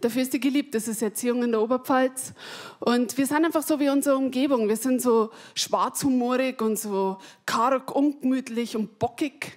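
Over a quiet background, a woman talks in a high voice with fairly even intonation. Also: moderate pace. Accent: Bavarian. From Upper Palatinate, Bavaria. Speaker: stand-up comedian. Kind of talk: stand-up comedy routine. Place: stage. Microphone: handheld.

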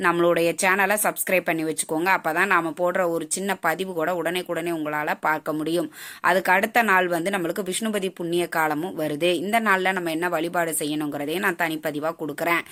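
A woman with a fairly low pitch and a fairly bright tone talks at a fairly quick pace with few pauses and fairly even intonation.

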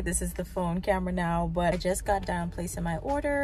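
A woman speaks at a moderate pace, the sound dry with no echo. Faint music plays in the background. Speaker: food vlogger. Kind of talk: casual vlog chat.

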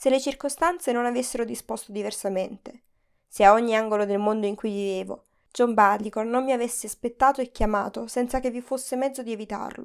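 The recording is very clean, and the background silent. An ordinary speaking voice goes fairly quickly, its intonation fairly even. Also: woman. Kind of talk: literary audiobook reading, first-person memoir narration. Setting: studio recording.

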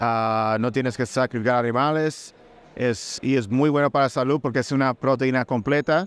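At a moderate pace, a man speaks with very even loudness and fairly even intonation, the sound dry with no echo. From Puerto Rico. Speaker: food company executive. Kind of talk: interview. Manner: halting, with many fillers. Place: booth. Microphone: studio mic.

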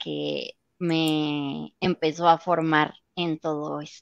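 The recording is dry with no echo and the background quiet. A woman speaks at a fairly low pitch. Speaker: voice actress; voice actress guest. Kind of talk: interview. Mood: friendly, relaxed. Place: home room. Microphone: video call.

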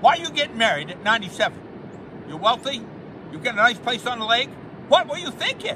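With noticeable background noise behind him, a man talks at a fairly quick pace in an extremely high pitch, with very wide pitch swings, big swings in loudness and long, frequent pauses. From Maine. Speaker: humorist, storyteller; storyteller. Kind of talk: comic storytelling monologue.

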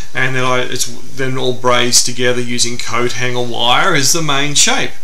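Light background noise behind a male voice. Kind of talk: interview answer. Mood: relaxed, enthusiastic. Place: home room. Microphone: camera far.

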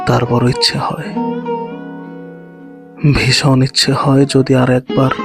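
A man with a medium pitch talks while music is heard behind him. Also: ordinary pitch variation. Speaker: poetry voiceover creator. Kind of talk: sad poetry reading, emotional voiceover.

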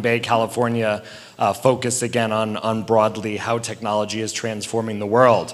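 The man talks at a moderate pace. There is noticeable background noise behind him. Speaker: event organizer. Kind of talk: event introduction. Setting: stage with audience.

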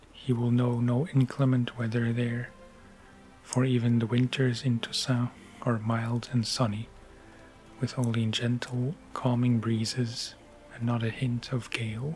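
Soft-spoken, a man speaks at medium pitch and a fairly slow pace, his intonation monotone and flat. Faint music plays in the background. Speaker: ASMR narrator. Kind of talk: book reading. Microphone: studio mic.

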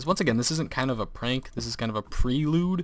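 This is an ordinary speaking voice. It goes at a fairly quick pace, and the pitch shifts in an ordinary way. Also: man. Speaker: gaming youtuber. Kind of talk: casual let's play commentary. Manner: laughs often.

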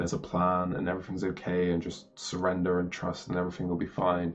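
A man with a very deep, low voice at a very fast pace, light background noise behind him. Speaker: spiritual video creator. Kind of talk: casual explanatory monologue. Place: home room. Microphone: webcam.

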